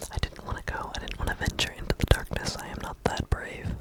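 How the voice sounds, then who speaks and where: Someone whispers over noticeable background noise. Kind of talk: ASMR gameplay commentary, casual talk to camera. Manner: whispered, soft-spoken.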